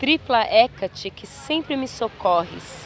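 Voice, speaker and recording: Very slow delivery with lively intonation, dry with no echo, over light background noise. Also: woman. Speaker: poetry reader. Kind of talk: poetry reading. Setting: outdoors, beach. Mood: calm, solemn, intimate. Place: beach. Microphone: phone near.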